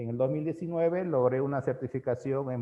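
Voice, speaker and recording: A man with a normal speaking voice talks at a moderate pace, using ordinary pitch variation. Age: 40s. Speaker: teacher. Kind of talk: lecture.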